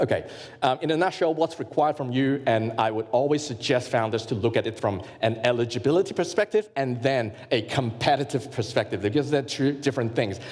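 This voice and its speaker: Against noticeable background noise, a man talks fairly quickly at a medium pitch with ordinary pitch variation. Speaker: grant consultant and workshop presenter. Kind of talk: workshop presentation. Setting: live workshop with audience. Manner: fast; halting with many fillers and repetitions.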